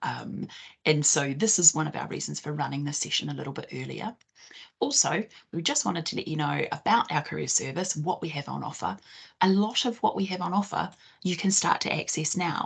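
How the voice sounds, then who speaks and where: A woman with a New Zealand accent speaks at a fairly quick pace. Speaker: careers consultant. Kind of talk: online presentation.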